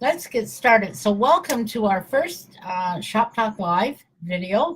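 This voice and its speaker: Slowly, at a very slow pace, a woman speaks at a fairly high pitch. Her voice is somewhat breathy and swings very widely in pitch. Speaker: wellness network marketer hosting live video. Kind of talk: live stream talk to viewers. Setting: live video broadcast. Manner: halting, many fillers.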